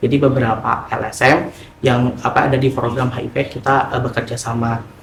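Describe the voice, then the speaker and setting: Amid noticeable background noise and audible room echo, a man talks fairly quickly at a medium pitch with monotone, flat intonation. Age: 20s. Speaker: NGO finance worker, HIV outreach. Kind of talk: documentary interview. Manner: casual with frequent fillers.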